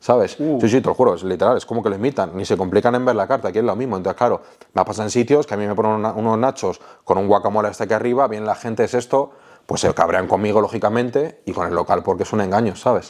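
Very fast pace from a man, with ordinary pitch variation. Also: quiet background. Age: 30s. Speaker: food content creator; interviewee, food content creator. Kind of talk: casual interview. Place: home room. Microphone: lapel.

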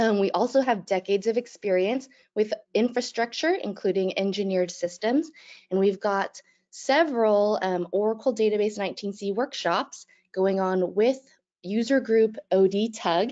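A woman talks fairly slowly, her pitch varying in an ordinary way, with a quiet background behind her. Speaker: webinar host. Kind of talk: webinar introduction. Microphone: video call.

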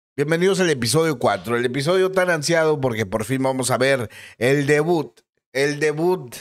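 With a quiet background behind him, a man uses lively intonation. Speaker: gaming youtuber. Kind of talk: casual gaming commentary. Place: home room. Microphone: studio mic.

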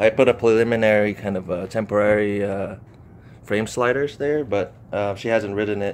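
A man with a normal speaking voice talks at a moderate pace, fairly low in pitch, with fairly even intonation and light background noise. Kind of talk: casual product walkthrough. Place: garage. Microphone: phone near.

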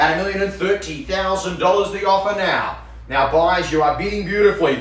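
Talking at a fairly quick pace, a man with a high-pitched voice is heard with audible room echo. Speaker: auctioneer. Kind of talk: property auction call. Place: office.

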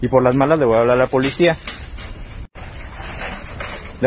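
A man speaks at a fast pace in a medium pitch. Faint background noise sits behind him.

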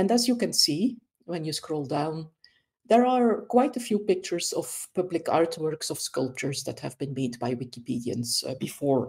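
A woman with a Dutch accent speaks at a fairly low pitch and a moderate pace. Her dark, mellow, somewhat breathy voice makes very wide pitch swings. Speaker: volunteer wiki editor. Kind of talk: tutorial.

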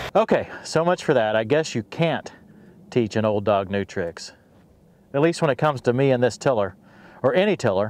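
The man's pitch swings very widely at a moderate pace, broken by long, frequent pauses, in a dry sound with no echo. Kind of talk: casual vlog chat. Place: farm machine.

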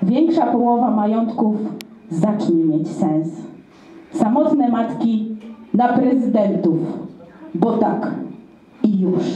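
A woman speaks very slowly at a fairly high pitch with lively intonation, leaving long, frequent pauses. Room echo is audible. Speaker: slam poet. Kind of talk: slam poetry performance. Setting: live event. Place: stage.

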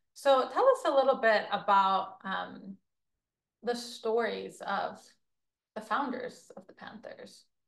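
A very slow pace with long, frequent pauses and big swings in loudness against a quiet background. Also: woman. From Israel, Jerusalem; Israel. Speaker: podcast host. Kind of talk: interview conversation. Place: studio. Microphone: lapel.

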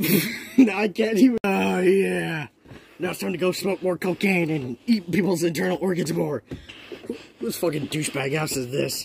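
Using a cartoonish character voice, a man speaks at a fairly high pitch. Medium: puppet.

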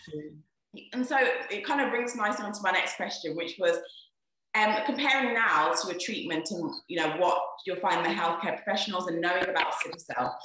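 Audible room echo surrounds a woman who speaks at a fairly quick pace with very wide pitch swings. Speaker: doctor. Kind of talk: casual talk to camera and interviewing. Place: home room. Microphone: webcam.

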